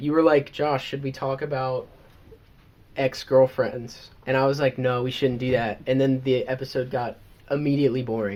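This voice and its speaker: Speaking in an American accent, a man keeps a medium pitch and a moderate pace with monotone, flat intonation. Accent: southern, comes out around family. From US South. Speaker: podcast co-host. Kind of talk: casual chat.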